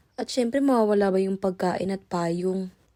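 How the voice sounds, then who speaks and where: A woman's medium-pitched voice, dark and mellow in tone, on a very clean recording with a silent background. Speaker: vlogger, care worker. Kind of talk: vlog voice-over narration. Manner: varying tone across recording; casual, chatty.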